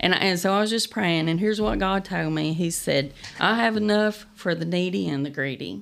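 Someone with an Appalachian accent speaks at a fairly quick pace with ordinary pitch variation. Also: woman, fairly low pitch for a woman. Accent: Appalachian Kentucky. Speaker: nonprofit founder. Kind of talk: interview. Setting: studio.

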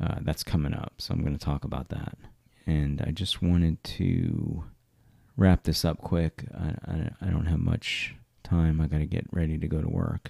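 This man's voice has a dark, mellow tone and a very deep, low pitch, delivered at a moderate pace. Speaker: podcast host. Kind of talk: solo monologue podcast, casual. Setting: home makeshift studio. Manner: hesitant, many fillers.

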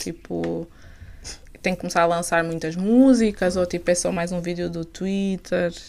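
In a very clean recording with a silent background, a woman with a normal speaking voice talks at a moderate pace in a medium pitch. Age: 20s. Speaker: podcast host. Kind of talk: casual interview.

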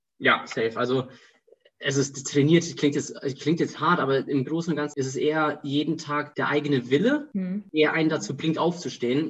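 This man speaks in a normal speaking voice, fairly high-pitched, with ordinary pitch variation at a moderate pace. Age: 20s. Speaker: student and startup founder. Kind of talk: casual interview.

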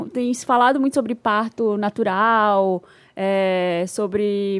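A woman speaks at a fairly high pitch in an ordinary speaking voice, with fairly even intonation. The recording is very clean, with a silent background. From Brazil, Belém. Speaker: podcast co-host. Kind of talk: casual chat.

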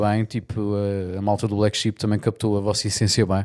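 A man speaks at a very fast pace with a fairly low pitch. The sound is dry and close with no echo. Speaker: podcast host. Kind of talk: casual chat. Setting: home room used as studio.

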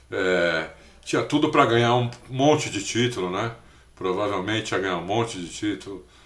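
Lively intonation marks a man's medium-pitched speech, with audible room echo. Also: moderate pace. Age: 50s. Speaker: motorsport podcast co-host. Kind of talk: casual chat.

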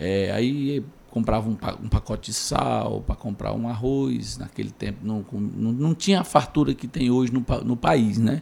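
Using lively intonation, a man with a plain, everyday voice and a medium pitch speaks at a fairly slow pace. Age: 40s. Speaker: community leader and former city councillor. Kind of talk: interview.

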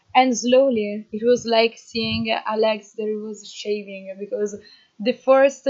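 With an Italian accent, a woman speaks very slowly in a fairly high pitch and a flat, monotone intonation. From northern Italy, Emilia-Romagna. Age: 20s. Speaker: agroforestry volunteer. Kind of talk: interview. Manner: hesitant, many fillers.

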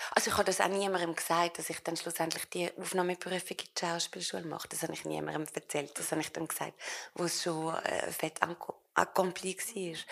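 At a fairly quick pace, a woman speaks at a fairly low pitch with monotone, flat intonation. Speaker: actress. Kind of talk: public interview in front of live audience.

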